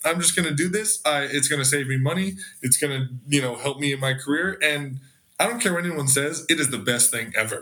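Moving at a fairly quick pace, a man with an American accent speaks in an unremarkable speaking voice, his fairly high pitch showing ordinary variation. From Los Angeles area. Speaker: golf content creator. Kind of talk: casual chat.

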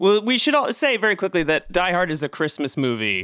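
With very wide pitch swings, a man talks at a fairly quick pace in a bright, sharp tone, the sound dry and close with no echo. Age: 40s. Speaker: podcast host. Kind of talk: casual chat.

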